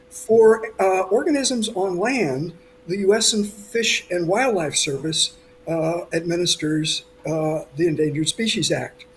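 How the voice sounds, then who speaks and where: Against noticeable background noise, a man with a high pitch talks at a fairly slow pace with lively intonation. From United States. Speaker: coral scientist. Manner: halting, many fillers.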